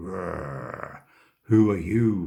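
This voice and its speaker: A man growls in a put-on character voice pitched very deep and low. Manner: threatening.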